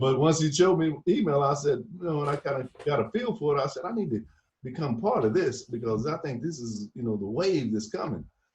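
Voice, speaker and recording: A man's plain, everyday voice, fairly high-pitched and fairly quick, with lively intonation. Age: 60s. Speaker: podcast host. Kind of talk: casual interview chat.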